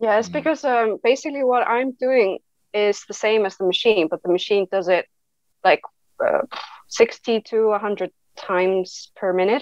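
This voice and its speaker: A woman with an Icelandic accent and a fairly high pitch speaks with long, frequent pauses against a quiet background. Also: dry sound with no echo. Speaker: tattoo artist; guest. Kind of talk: interview. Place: home room. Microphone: webcam.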